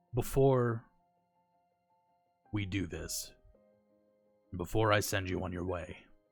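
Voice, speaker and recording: A man uses a put-on character voice, raspy and fairly low in pitch. He talks at a fairly slow pace with long, frequent pauses as faint music plays in the background. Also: ordinary pitch variation. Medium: actual play. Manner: calm, stoic.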